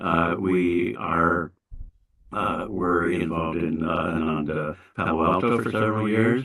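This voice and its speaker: Slow-paced and with a very deep, low pitch, a man with an American accent speaks with ordinary pitch variation. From US West. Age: 70s. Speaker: spiritual teacher. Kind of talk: sermon. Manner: halting, many fillers.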